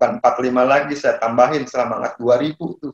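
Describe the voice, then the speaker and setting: A man with a medium pitch uses a normal speaking voice and fairly even intonation. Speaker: property broker and seminar speaker. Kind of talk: online seminar talk. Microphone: a bit far from the mic.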